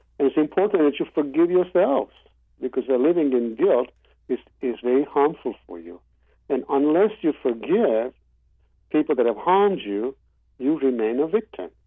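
The speaker keeps a moderate pace, with very wide pitch swings and long, frequent pauses. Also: man, fairly high pitch for a man. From Kenya. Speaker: forgiveness advocate and public speaker. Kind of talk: phone interview. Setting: phone call.

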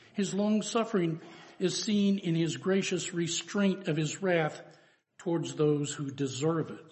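A man's high-pitched voice, with ordinary pitch variation at a fairly slow pace. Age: 70s. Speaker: preacher. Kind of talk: sermon.

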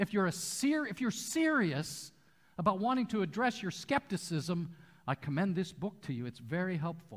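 A man's high voice with an American accent, very wide pitch swings and a moderate pace. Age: 60s. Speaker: pastor. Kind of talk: sermon. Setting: church.

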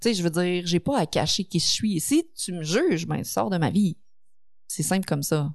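In a Quebec accent, a woman speaks at a fairly low pitch and moderate pace with ordinary pitch variation against a quiet background. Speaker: streamer and online content creator. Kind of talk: casual chat. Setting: studio.

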